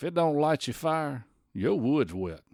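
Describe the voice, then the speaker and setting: On a very clean recording with a silent background, a man talks at a moderate pace with very wide pitch swings. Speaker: podcast host. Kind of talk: podcast narration. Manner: conversational.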